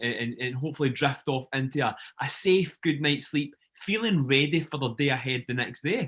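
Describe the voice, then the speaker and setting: This man has an ordinary speaking voice, fairly high in pitch, at a moderate pace with ordinary pitch variation. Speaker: podcast host. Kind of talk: interview host talk.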